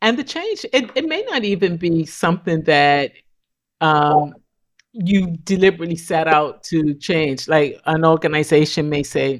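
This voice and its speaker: An unremarkable speaking voice moves at a fairly slow pace, its pitch varying in a typical way. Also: woman, fairly low pitch for a woman. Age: 60s. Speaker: communications consultant. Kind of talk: podcast interview. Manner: reflective, conversational.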